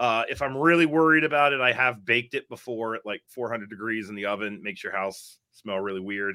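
At a very fast pace with hardly any pauses, a man talks at a medium pitch with ordinary pitch variation. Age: 40s. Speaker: herpetologist and reptile keeper. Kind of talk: casual chat.

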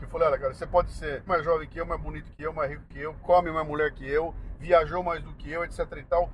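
A man talks at a very fast pace with hardly any pauses. His loudness swings a lot. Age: 60s. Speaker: radio host and podcaster. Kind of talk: casual chat. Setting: in a car.

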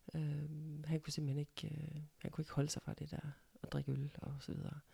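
A woman's very deep, low, somewhat breathy voice with a dark, mellow tone at a moderate pace, in a very clean recording with a silent background. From Denmark, central Jutland (Ikast). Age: 60s. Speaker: mother of the host. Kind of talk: casual chat.

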